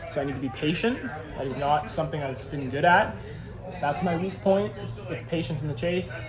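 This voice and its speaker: Crowd noise fills the background as a man talks with lively intonation in a fairly high pitch. His fairly quick speech carries audible room echo. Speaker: drift driver, motorsport vlogger. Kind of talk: casual vlog talk to camera. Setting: at a race track. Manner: fast.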